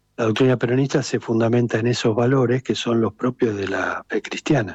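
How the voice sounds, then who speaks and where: A man with a medium-pitched, unremarkable speaking voice talks at a moderate pace with fairly even intonation, the sound dry and close with no echo. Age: 60s. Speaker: political activist. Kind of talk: radio interview.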